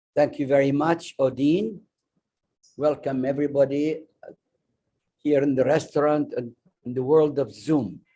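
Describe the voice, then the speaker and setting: With an Arabic accent, a man speaks at a fairly slow pace with long, frequent pauses, fairly even intonation, a fairly high pitch, and a dark, mellow tone. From Iraq, Baghdad. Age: 90s. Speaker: refugee speaker and memoir author. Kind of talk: personal testimony talk. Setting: restaurant event streamed on Zoom.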